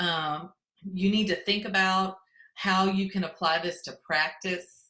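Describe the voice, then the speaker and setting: Her tone is bright and sharp, but this woman's intonation is monotone and flat. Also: medium pitch for a woman, fairly slow pace. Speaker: education technology consultant. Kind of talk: conference presentation. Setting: virtual conference.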